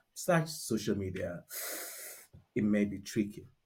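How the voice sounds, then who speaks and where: A man with a fairly low pitch and a dark, mellow tone speaks at a moderate pace. His voice is somewhat breathy, with lively intonation. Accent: Nigerian. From Nigeria. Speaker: restaurant founder. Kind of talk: interview conversation. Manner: halting, many fillers.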